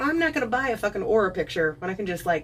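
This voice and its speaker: Her intonation lively, a woman talks at a very fast pace. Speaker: live streamer. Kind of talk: casual chat. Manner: animated.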